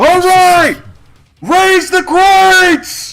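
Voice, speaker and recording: A man's put-on character voice, extremely high in pitch and flat in monotone intonation. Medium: actual play. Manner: commanding.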